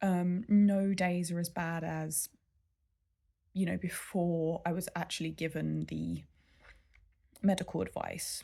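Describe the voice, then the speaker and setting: On a very clean recording with a silent background, a woman speaks at a very slow pace with long, frequent pauses. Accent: English. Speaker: vlogger. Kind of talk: casual vlog update. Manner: halting.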